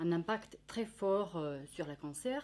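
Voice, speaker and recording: A woman with a Finnish accent speaks at a very slow pace, her fairly low voice carrying lively intonation. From Finland. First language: Finnish (speaking French). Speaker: nutritionist. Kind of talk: educational talk. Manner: halting, many hesitations.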